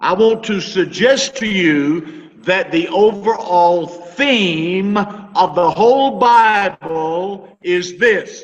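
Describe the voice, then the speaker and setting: A man speaks with a high-pitched voice. His pace is very slow. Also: ordinary pitch variation. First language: English (speaking Spanish). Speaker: Bible teacher. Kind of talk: sermon.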